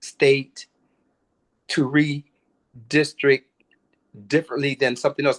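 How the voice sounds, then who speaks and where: A man with a fairly high pitch at a moderate pace, in dry, close sound with no echo. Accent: American. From Michigan. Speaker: congressional candidate. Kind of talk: interview.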